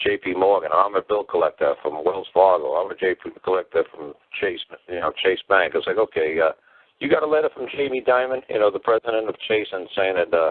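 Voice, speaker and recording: This man has a New York accent. He talks at a fairly quick pace. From New York City. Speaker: common-law teacher, call-in show host. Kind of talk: call-in show conversation. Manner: animated.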